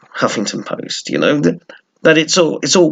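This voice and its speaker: A man with an English accent. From England. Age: old. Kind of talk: casual talk to camera.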